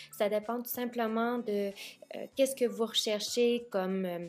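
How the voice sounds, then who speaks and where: Speaking at a fairly slow pace, a woman with a fairly high pitch and fairly even intonation has an ordinary speaking voice. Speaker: makeup vlogger. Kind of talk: makeup tutorial.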